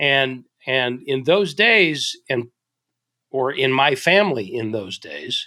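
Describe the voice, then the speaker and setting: A man talks very slowly with a fairly high pitch. His tone is bright and sharp, with lively intonation. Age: 60s. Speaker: business author and leadership consultant. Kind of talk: podcast interview. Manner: halting, with frequent repetitions.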